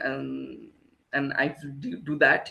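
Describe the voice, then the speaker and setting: A man's voice is raised and projected. Its pitch moves through very wide swings. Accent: Bengali. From India, Kolkata. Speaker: choreographer. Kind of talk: interview. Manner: halting.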